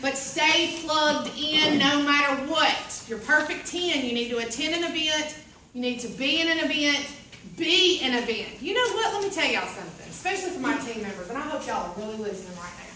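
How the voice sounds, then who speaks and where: A woman with high pitch speaks in a raised, projected voice and animated tone at a fairly quick pace, with very wide pitch swings. Audible room echo and noticeable background noise are present. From US South (Bible Belt). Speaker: direct sales team leader. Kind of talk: training seminar.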